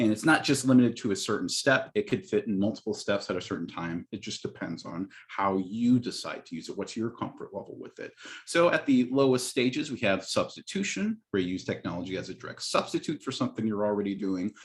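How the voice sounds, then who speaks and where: Speaking at a very fast pace with hardly any pauses, a man has a medium pitch. His intonation is lively. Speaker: instructional technology specialist. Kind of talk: training webinar.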